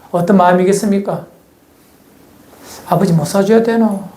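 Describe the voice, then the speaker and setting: Over noticeable background noise and audible room echo, a man with a strong Gyeongsang accent speaks at a high pitch with ordinary pitch variation. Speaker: pastor. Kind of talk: sermon.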